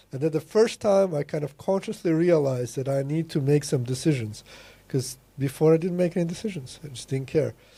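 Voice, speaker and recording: Speaking at a fairly quick pace with a non-native accent, a man's fairly high, somewhat breathy voice shows ordinary pitch variation. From Latvia. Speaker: programmer and business consultant. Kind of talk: casual chat. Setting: podcast interview.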